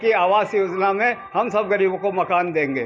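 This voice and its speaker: There is noticeable background noise. A man speaks with a high pitch. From India, Ujjain. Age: 70s. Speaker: residents' association leader. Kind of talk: news interview statement.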